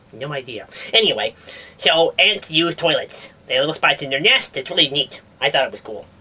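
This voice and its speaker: The put-on character voice sits at a middle pitch. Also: fairly quick pace. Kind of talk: comedic science news show. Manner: casual, rambling, hesitant.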